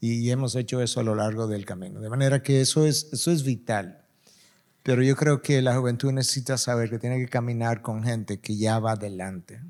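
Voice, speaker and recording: An unremarkable speaking voice from a man, medium pitch, ordinary pitch variation, fairly quick pace, very clean recording with a silent background. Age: 60s. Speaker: pastor. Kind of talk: panel discussion.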